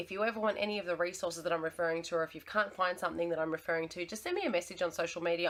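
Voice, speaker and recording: A woman in an Australian accent, very fast and fairly low-pitched. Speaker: teacher sharing art lessons. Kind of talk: tutorial.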